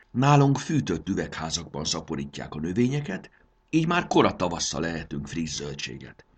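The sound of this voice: Reading aloud in an unforced voice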